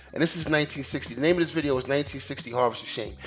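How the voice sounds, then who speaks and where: Music plays behind a man speaking with an American accent at a fairly high pitch. His tone is animated and his intonation lively. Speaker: YouTuber, commentator. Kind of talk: opinion monologue.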